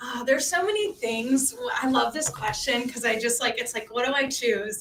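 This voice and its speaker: Over noticeable background noise, a woman with a slight Louisiana accent speaks in a high pitch with ordinary pitch variation. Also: moderate pace. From New Orleans, Louisiana. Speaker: cruise line business development manager. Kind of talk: livestream interview. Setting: live stream at company headquarters.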